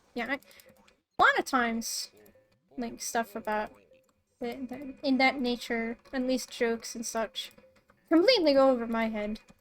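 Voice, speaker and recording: Over music in the background, a woman speaks in a high voice at a moderate pace with fairly even intonation, big swings in loudness and long, frequent pauses. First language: Swedish. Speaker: streamer. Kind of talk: casual gameplay stream commentary. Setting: live stream.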